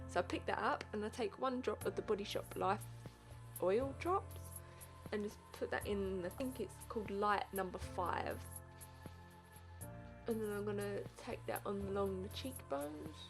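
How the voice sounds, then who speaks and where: Music plays behind a woman who mumbles at a moderate pace. She leaves long, frequent pauses. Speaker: beauty vlogger. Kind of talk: makeup tutorial narration. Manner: mumbling; casual, chatty.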